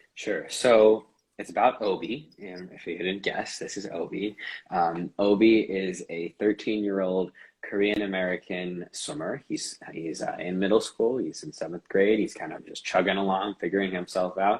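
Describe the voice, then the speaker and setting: With an unremarkable speaking voice, a man talks at a moderate pace and fairly low pitch, with ordinary pitch variation and big swings in loudness. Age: 20s. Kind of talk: interview.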